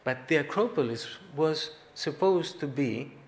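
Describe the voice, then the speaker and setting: Audible room echo surrounds speech in a Greek accent with ordinary pitch variation. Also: man. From Greece. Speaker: artist giving keynote speech. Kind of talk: conference speech. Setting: conference hall with audience.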